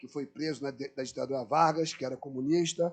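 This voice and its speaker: Music plays in the background as a man speaks. His pitch is fairly high and his pace moderate. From Brazil, Rio de Janeiro (Irajá). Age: 60s. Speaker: anthropologist, panel speaker. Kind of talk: lecture.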